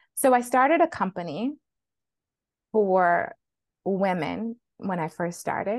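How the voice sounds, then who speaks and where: A plain, everyday voice from a woman, medium in pitch with lively intonation, against a quiet background. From Flint, Michigan. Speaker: physician and money coach. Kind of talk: interview conversation.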